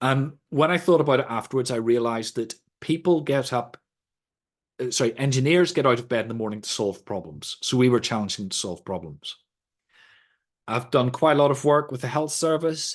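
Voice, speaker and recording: A man talks in a Northern Irish accent at a medium pitch. His intonation is lively and his pace fairly quick. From Northern Ireland. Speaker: sustainability trainer. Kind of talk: lecture. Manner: conversational.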